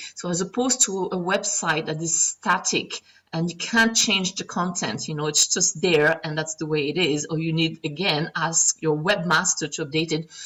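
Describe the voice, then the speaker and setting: A woman with a non-native accent, fairly low in pitch, with hardly any pauses. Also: ordinary pitch variation, moderate pace. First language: not English. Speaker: online marketing coach. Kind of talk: tutorial. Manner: casual, frequent fillers.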